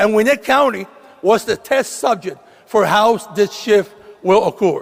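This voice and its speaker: A man with a Puerto Rican accent speaks at a fairly slow pace in a high pitch, his intonation fairly even, over noticeable background noise. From Puerto Rico, San Juan. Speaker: state legislator, commencement speaker. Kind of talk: commencement speech. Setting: graduation ceremony with audience.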